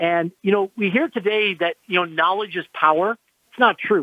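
The man's voice is high in pitch. It shows ordinary pitch variation. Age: 50s. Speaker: entrepreneur and investor. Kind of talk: radio interview.

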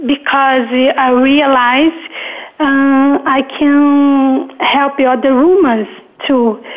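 Over noticeable background noise, a high-pitched woman talks at a very slow pace. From Brazil, Rio de Janeiro. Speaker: author. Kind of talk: interview. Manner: hesitant.

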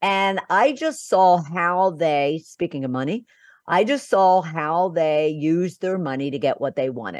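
A woman with a plain, everyday voice, fairly low pitch, American accent, lively intonation, and fairly slow pace against a quiet background. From Philadelphia, US. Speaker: business coach and podcast host. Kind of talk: interview.

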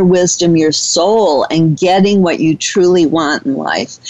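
Speaking at a fairly slow pace, a woman has a normal speaking voice, medium pitch and ordinary pitch variation. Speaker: radio host. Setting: radio studio, internet talk radio.

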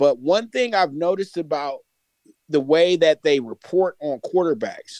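Recorded dry and close with no echo, a man speaks at a moderate pace. His pitch is high, with lively intonation. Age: 30s. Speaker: sports commentator. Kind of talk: casual chat.

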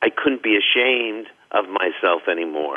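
This man talks with a New York accent. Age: 70s. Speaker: author and biographer. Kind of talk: radio interview.

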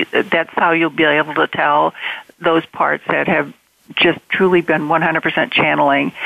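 A woman's very deep, low voice with vocal fry, monotone, flat intonation and very even loudness. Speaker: spiritual author. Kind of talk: inspirational interview. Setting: online call.

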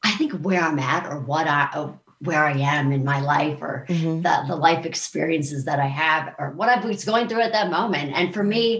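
Lively intonation at a moderate pace, in an American accent. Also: woman. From Maryland, US. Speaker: country singer. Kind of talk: casual interview chat. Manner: animated, joking.

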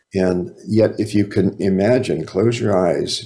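With a dark, mellow tone, a man speaks at a fairly low pitch. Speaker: author and psychotherapist. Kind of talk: radio interview. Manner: conversational, relaxed.

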